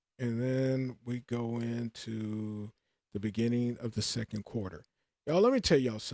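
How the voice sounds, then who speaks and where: A man with a normal speaking voice talks at a moderate pace and medium pitch with fairly even intonation, in a dry, close sound with no echo. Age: 60s. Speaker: forex trading teacher. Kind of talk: live trading class. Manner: casual, repetitive with fillers.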